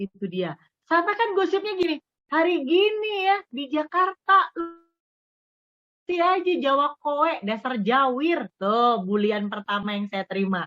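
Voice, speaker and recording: A woman's high voice in a Javanese accent, fairly slow, with very wide pitch swings. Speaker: radio broadcaster. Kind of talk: interview.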